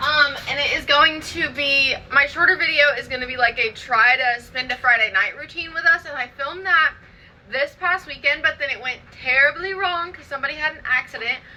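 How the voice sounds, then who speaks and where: In a raised, projected voice, a woman talks fairly quickly with a high pitch, a bright, sharp tone, ordinary pitch variation and big swings in loudness. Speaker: lifestyle vlogger. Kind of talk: casual vlog chat. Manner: fast.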